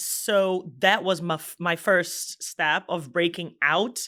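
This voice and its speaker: A woman speaks at a very slow pace in a fairly low voice with a bright, sharp tone. Her intonation is fairly even, and the recording is very clean with a silent background. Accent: Brazilian Portuguese. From Brazil, Espírito Santo. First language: Portuguese. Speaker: business executive. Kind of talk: podcast interview.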